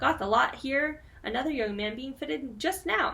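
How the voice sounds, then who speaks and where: A woman's high-pitched put-on character voice over light background noise. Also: moderate pace. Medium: read story. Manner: brisk, friendly, calls customers dear.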